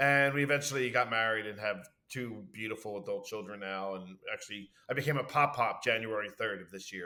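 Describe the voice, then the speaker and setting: A man with a Philadelphia accent talks at a fairly quick pace. His pitch is medium. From Philadelphia, US (Southwest Philly). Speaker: university administrator. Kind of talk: casual interview chat. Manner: talkative, fast; loud.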